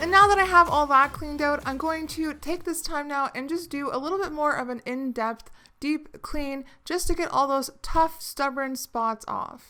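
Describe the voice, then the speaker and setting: A woman's raised, projected voice, high-pitched with a bright, sharp tone, at a moderate pace with ordinary pitch variation and hardly any pauses. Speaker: cleaning video creator. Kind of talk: tutorial. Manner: slightly slurred.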